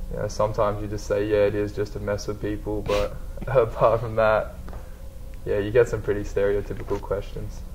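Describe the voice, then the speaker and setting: A man with an Australian accent speaks at a fairly quick pace against noticeable background noise. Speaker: college basketball player. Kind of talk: interview.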